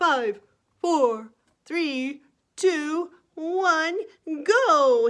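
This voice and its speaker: In a put-on character voice, a woman speaks at an extremely high pitch with lively intonation. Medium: read story.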